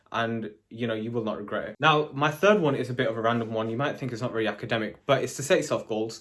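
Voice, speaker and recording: With a British accent, a man talks at medium pitch and a fairly quick pace, with ordinary pitch variation. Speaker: chemistry graduate and vlogger. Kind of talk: casual advice vlog. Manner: fast.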